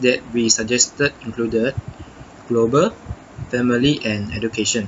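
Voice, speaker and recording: Noticeable background noise sits behind a man speaking at a fairly slow pace. His pitch is medium and his intonation fairly even. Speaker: university student. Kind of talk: reflection monologue. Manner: halting, many self-corrections.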